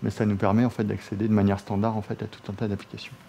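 A man's fairly low pitch at a very fast pace. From France. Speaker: software security expert; presenter. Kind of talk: technical presentation. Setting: office meeting room with colleagues. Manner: hesitant, many fillers. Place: meeting room.

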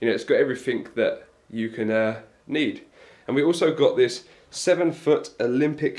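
Ordinary pitch variation runs through the speech of a man. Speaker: fitness vlogger. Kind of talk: casual vlog chat, equipment tour. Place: home room. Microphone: phone near.

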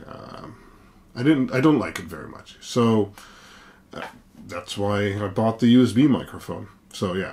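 With big swings in loudness, a man speaks in an ordinary speaking voice at a moderate pace, fairly low in pitch with ordinary pitch variation. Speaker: tech vlogger. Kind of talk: casual vlog chat. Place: home room. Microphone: camera far.

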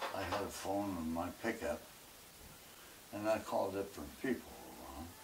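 Somewhat breathy man's voice, fairly low in pitch, with ordinary pitch variation, a moderate pace and noticeable background noise. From Arkansas. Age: 90. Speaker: businessman, war veteran. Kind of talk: interview answer. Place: home room.

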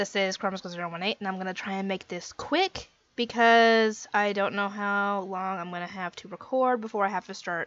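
A woman speaks with fairly even intonation. The sound is dry, with no echo. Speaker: anime reaction vlogger. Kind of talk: casual vlog chat. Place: home room.

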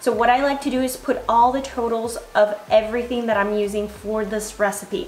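A woman speaks at a moderate pace in a high voice with ordinary pitch variation, with audible room echo and faint music in the background. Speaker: fitness creator. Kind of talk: tutorial. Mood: friendly, upbeat. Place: kitchen.

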